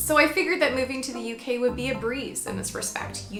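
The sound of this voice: Music plays in the background as a woman speaks at a fairly quick pace with a Canadian accent.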